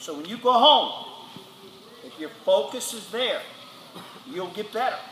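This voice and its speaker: A man speaking at a moderate pace, with audible room echo and noticeable background noise. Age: 60s. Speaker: football coach. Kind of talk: motivational speech to players. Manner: animated.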